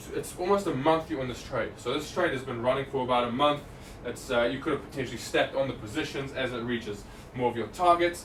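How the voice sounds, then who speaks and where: A man's medium-pitched voice at a very fast pace, with ordinary pitch variation, audible room echo and noticeable background noise. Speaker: trading analyst presenter. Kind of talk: live market analysis stream. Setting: live stream. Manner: stutter; casual, conversational.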